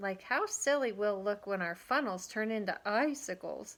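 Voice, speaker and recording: Using a put-on character voice, this female-sounding speaker talks at a moderate pace in a fairly high pitch. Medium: read story.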